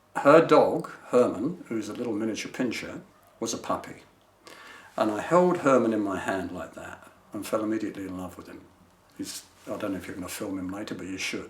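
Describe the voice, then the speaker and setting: A man with lively intonation and big swings in loudness, at a fairly quick pace, with audible room echo. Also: medium pitch for a man. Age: 70s. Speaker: retired business manager, client. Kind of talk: testimonial interview. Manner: conversational, hesitant with fillers.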